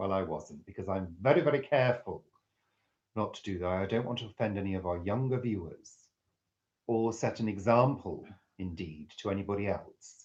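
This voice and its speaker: A man's fairly low, somewhat breathy voice with ordinary pitch variation. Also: moderate pace. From northwest England. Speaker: live-stream host. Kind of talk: live chat reading viewer comments. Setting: live stream. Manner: clear, careful enunciation.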